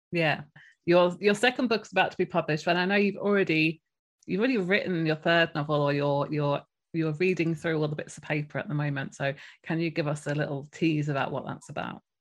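Using a normal speaking voice, a woman with a fairly low pitch and ordinary pitch variation talks at a fairly quick pace in a very clean recording with a silent background. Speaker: podcast host and debut novelist. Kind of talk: podcast interview.

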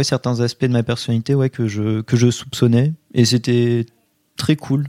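A man with a dark, mellow tone at medium pitch, monotone, flat intonation and a dry, close sound with no echo. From France, Poitiers. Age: 20s. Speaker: history student. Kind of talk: interview testimony. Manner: hesitant with fillers.

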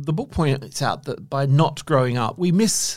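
In a very clean recording with a silent background, a man with a normal speaking voice talks at a fairly high pitch and a moderate pace, his intonation lively. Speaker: podcast host. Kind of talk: interview conversation.

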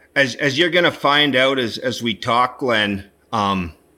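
A man with a Canadian accent, a bright, sharp tone, ordinary pitch variation and a fairly slow pace. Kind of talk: interview. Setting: remote call into live stream. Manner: halting, repeats words.

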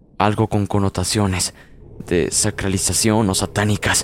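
Over noticeable background noise, a man with a fairly low pitch speaks at a fairly slow pace. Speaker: podcast narrator of horror stories. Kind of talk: horror story narration, first-person, eerie and suspenseful. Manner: descriptive, gloomy, building dread.

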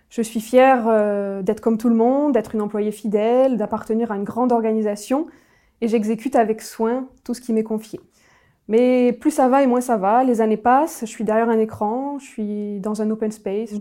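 On a very clean recording with a silent background, a woman speaks at a moderate pace. Her fairly high voice has a dark, mellow tone and fairly even intonation. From southern France (Nîmes). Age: 30s. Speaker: former bank employee turned writer. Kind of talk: personal testimony. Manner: hesitant, frequent fillers and repetitions.

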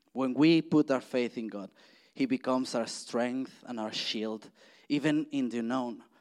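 Speaking at a fairly slow pace with a Spanish accent, a man keeps a medium pitch and fairly even intonation in a very clean recording with a silent background. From Mexico. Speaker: church speaker. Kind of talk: sermon. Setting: church. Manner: halting.

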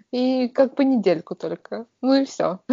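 Her voice high-pitched, a woman speaks at a fairly slow pace with lively intonation. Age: 30s. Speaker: podcast co-host. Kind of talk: casual chat. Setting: video call.

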